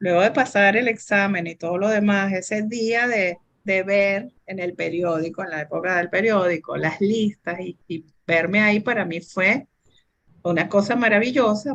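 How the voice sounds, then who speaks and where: An unremarkable speaking voice, a woman at medium pitch with lively intonation. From Venezuela. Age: 60s. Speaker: computer engineer. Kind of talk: interview. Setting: video recording.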